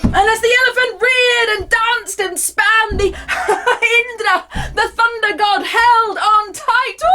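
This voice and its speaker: A raised, projected voice speaks very slowly with fairly even intonation over noticeable background noise. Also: woman, extremely high pitch for a woman. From United Kingdom. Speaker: performance storyteller. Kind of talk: live storytelling performance of myth. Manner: dynamic, physical, expressive, sometimes funny.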